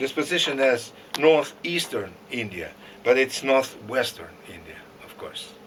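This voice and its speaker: A man speaks with a Russian accent. His pace is fairly slow. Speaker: lecturer. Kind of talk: lecture. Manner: halting.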